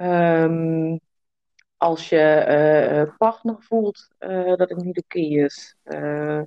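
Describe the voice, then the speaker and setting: The woman's pitch is fairly low, with fairly even intonation. She speaks at a very slow pace. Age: 30s. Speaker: entrepreneur and mother. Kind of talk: podcast interview. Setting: video call.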